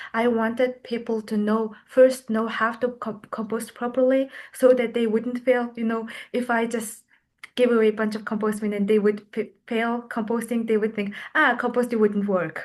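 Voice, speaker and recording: Against a quiet background, a woman with a fairly high pitch and a non-native accent speaks at a moderate pace in a monotone, flat intonation. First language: not English. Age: young. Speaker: youth climate grant recipient. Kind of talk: interview. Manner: halting.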